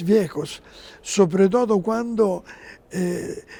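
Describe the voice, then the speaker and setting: This man has a high pitch and a dark, mellow tone. He talks very slowly with ordinary pitch variation. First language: Italian (speaking Spanish). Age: 70s. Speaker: interview guest, religious figure. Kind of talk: TV interview. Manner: halting.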